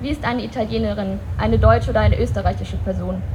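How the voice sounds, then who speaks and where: Noticeable background noise behind a fairly quick pace. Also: woman. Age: young. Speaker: human rights activist. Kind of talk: political speech. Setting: outdoor memorial event with audience.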